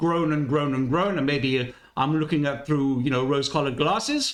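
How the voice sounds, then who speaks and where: With an Italian accent, a man talks at a fairly high pitch and a moderate pace. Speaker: music reaction youtuber. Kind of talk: casual commentary. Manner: hesitant, many fillers.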